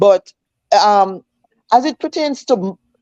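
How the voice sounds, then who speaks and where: A woman with a Jamaican accent speaks at a moderate pace in a dark, mellow tone, recorded dry and close with no echo. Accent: Jamaican, with patois features. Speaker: schoolteacher. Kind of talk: casual chat. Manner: animated.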